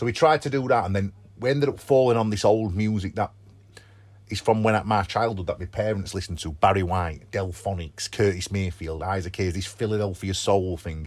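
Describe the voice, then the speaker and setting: In a Sheffield accent, a man with a fairly low pitch and an animated tone talks at a fairly quick pace with ordinary pitch variation, in a very clean recording with a silent background. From northern England, Sheffield. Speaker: rock band frontman. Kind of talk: casual interview. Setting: on a tour bus before a gig. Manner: fast, animated.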